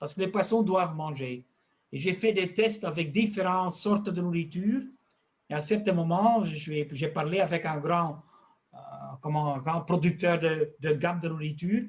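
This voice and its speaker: Here a man talks at a high pitch for a man. He keeps a moderate pace with ordinary pitch variation. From Flanders, Belgium. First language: Dutch (speaking French). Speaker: fish health expert and fish food maker. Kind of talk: interview. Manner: halting, with repetitions.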